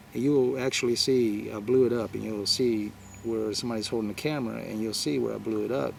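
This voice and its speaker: A man speaks at a moderate pace and a fairly low pitch. His pitch variation is ordinary, and audible room echo surrounds the voice. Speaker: spiritual video blogger. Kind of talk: spiritual talk to viewers. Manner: halting, many fillers.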